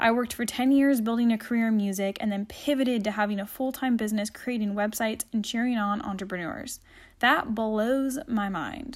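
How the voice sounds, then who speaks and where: A somewhat breathy voice with an upbeat, animated tone, moving at a fairly quick pace with hardly any pauses. The recording is very clean, with a silent background. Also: woman, fairly high pitch for a woman. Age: 20s. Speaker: web designer and podcast host. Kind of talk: solo monologue podcast. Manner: upbeat and animated.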